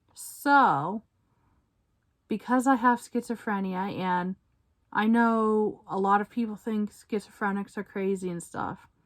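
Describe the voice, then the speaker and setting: Here a woman speaks at a medium pitch and a fairly slow pace, with ordinary pitch variation. The recording is very clean, with a silent background and a dry, close sound with no echo. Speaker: vlogger. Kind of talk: personal testimony. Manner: halting.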